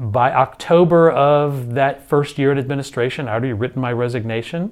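In a Texan accent, a man with a fairly high pitch speaks with ordinary pitch variation over a quiet background. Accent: Texan American English. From Houston, Texas (Spring Branch). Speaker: school district administrator, former choir director. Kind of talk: interview. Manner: casual, with frequent fillers.

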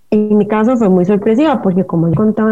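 The pitch of this woman's voice is fairly high. She has a dark, mellow tone. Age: 40s. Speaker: writer and dancer. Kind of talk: interview.

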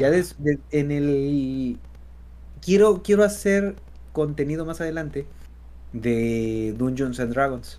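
A man in a Mexican accent, medium in pitch and lively in intonation, at a very slow pace with long, frequent pauses. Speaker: content creator. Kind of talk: casual chat. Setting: live stream. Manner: halting.

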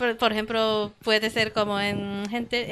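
A woman with a Japanese accent, fairly high in pitch, at a fairly slow pace with music in the background. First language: Japanese (speaking Spanish). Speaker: language meetup organizer. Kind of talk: casual chat. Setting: studio. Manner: halting.

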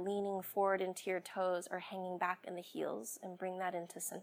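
A woman with an ordinary speaking voice talks at a medium pitch. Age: 30s. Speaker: yoga teacher. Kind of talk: guided yoga and meditation instruction, cueing poses and breath to a class. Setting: workshop with live class. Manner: slow, calm, soothing cues with pauses; gentle, reassuring, softly repetitive.

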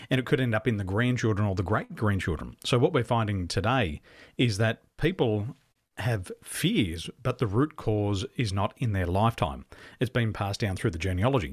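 Somewhat breathy and fairly low-pitched, a man speaks with an Australian accent at a moderate pace and with lively intonation, on a very clean, dry, close recording with no echo and a silent background. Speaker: business coach. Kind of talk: interview.

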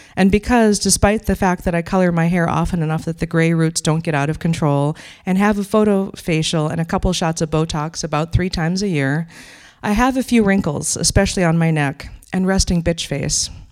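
A woman with an American accent speaks at a fairly quick pace, her pitch fairly low. Her pitch varies in an ordinary way, and it's a plain, everyday voice. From Wisconsin. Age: 50s. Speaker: storyteller and activist. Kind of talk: personal story read aloud.

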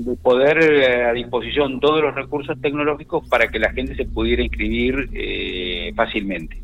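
Backed by music, the man keeps to a moderate pace. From La Pampa, Argentina. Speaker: provincial government minister. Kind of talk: radio interview. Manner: halting, with frequent fillers.

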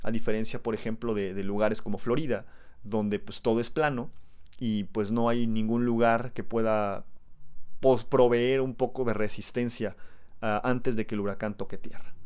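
A man with an ordinary speaking voice, medium in pitch, at a moderate pace with fairly even intonation. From Mexico. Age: 20s. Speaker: science podcast host. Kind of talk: educational monologue. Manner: casual, conversational.

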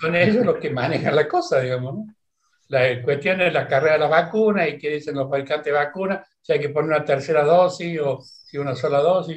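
Somewhat breathy, a man talks at a fairly quick pace with a fairly high pitch and ordinary pitch variation. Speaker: retired physician. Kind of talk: interview. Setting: video call.

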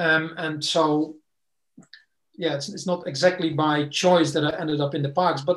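This man keeps a moderate pace and fairly even intonation. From Netherlands. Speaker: martial arts instructor. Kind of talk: casual interview. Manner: halting.

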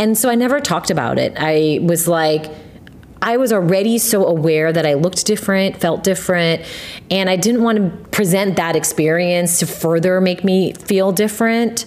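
With noticeable background noise behind her, a woman with an American accent speaks at medium pitch, with ordinary pitch variation and very even loudness. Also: moderate pace. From US, Korean American family. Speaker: podcast host. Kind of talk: casual chat.

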